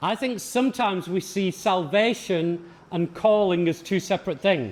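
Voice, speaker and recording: At a fairly slow pace, a man speaks with a high pitch and ordinary pitch variation. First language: English (speaking Portuguese). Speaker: visiting pastor teaching a leadership seminar. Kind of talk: sermon-style lecture with consecutive interpretation. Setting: seminar for church leaders. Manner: short phrases paused for interpreter.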